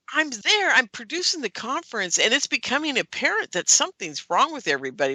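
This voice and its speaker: Recorded dry and close with no echo, a woman with a bright, sharp tone and vocal fry talks at a fairly quick pace. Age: 60s. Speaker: UFO conference producer and radio host. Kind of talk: casual interview chat. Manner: animated.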